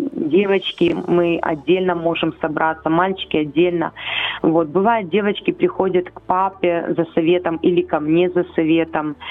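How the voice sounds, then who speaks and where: Through noticeable background noise, a woman speaks at a fairly low pitch with fairly even intonation. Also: fairly slow pace. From Ukraine, Chernihiv. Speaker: foster mother of ten, church minister. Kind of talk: radio interview. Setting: phone call.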